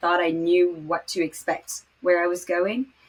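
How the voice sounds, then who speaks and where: Speaking fairly slowly with a French accent, a woman uses fairly even intonation at a fairly low pitch. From Morocco. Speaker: podcast host and finance startup founder. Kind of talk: interview.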